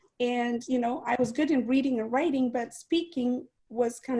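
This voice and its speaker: This voice has a dark, mellow tone and a non-native accent. It moves at a fairly quick pace with ordinary pitch variation. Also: woman. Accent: foreign. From outside the US, immigrant. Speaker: guest speaker, network marketing leader. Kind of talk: interview on an online training call.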